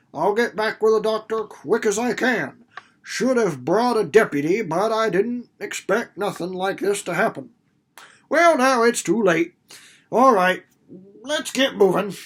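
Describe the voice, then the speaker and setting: A man performs a put-on character voice, gruff and wheezy, in a rural American accent with a high pitch. The act has lively intonation at a moderate pace. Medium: read story. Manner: gruff, blustering, folksy dialect.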